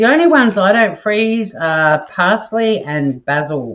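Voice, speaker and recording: With lively intonation, a woman delivers her words very slowly. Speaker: home cooking livestream host. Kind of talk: live cooking stream chat. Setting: home kitchen with fixed camera. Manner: soothing, sleep-inducing.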